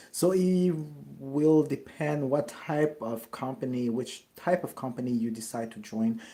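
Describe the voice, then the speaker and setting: Speaking at a fairly slow pace, a man with a dark, mellow tone uses ordinary pitch variation. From France, Paris. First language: French. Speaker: network marketer. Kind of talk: live Q&A. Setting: livestream. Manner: halting, with many fillers and self-corrections.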